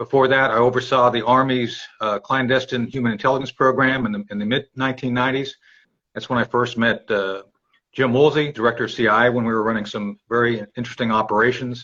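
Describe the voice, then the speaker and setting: A man rattles along at a very fast pace, his medium-pitched voice bright and sharp in tone, with monotone, flat intonation. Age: 50s. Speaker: retired army intelligence officer. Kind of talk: interview. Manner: halting.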